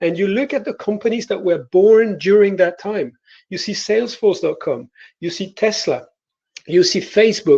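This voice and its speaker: A man with a high pitch and a dark, mellow tone speaks at a moderate pace with ordinary pitch variation. The background is quiet. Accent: French. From France. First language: French. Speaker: innovation consultant. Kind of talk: panel presentation. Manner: hesitant, many filler words.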